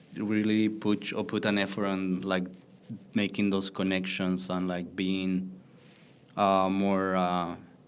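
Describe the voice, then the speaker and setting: Against audible room echo, a man with a very deep, low pitch speaks at a very slow pace in a monotone, flat intonation. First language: not English. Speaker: artist running a print studio. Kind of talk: interview. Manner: halting, many fillers.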